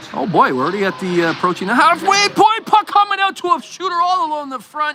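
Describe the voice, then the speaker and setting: A man's extremely high, raised, projected voice with very wide pitch swings at a very fast pace, over noticeable background noise. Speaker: amateur sports commentator, hockey parent. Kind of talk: live commentary. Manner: animated.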